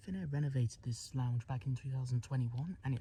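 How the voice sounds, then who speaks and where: With music in the background, a man with a British accent talks at a very fast pace, his medium pitch showing ordinary pitch variation. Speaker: travel vlogger. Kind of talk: travel vlog narration. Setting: airport lounge. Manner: hushed, keeping voice down.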